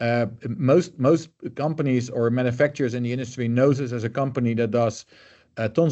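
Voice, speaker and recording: A man with a Dutch accent, very fast pace and fairly even intonation. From Netherlands. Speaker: color management expert. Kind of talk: interview. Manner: hesitant, many fillers.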